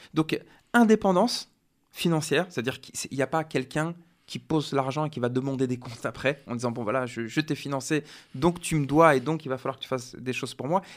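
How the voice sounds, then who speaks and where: Here a man speaks at a fairly quick pace and fairly high pitch, with ordinary pitch variation. He has an unremarkable speaking voice, in a very clean recording with a silent background. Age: 40s. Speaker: research officer and community volunteer. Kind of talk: radio interview.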